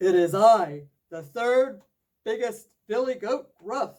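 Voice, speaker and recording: A loud, put-on character voice at a fairly high pitch and a very slow pace. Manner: booming.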